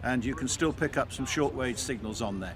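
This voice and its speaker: This voice moves at a fairly quick pace with an English accent. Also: man. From England. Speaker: military vehicle restorer. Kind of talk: casual explanation to camera. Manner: hesitant, many fillers.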